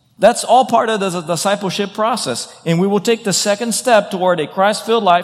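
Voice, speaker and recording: A man speaks with a high pitch and ordinary pitch variation. Noticeable background noise runs under him. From Brazil. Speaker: pastor. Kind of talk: sermon.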